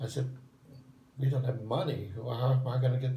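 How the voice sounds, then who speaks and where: A dark, mellow, somewhat breathy voice moves at a moderate pace. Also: man. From southern Italy. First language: Italian. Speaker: retired English professor. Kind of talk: interview answer.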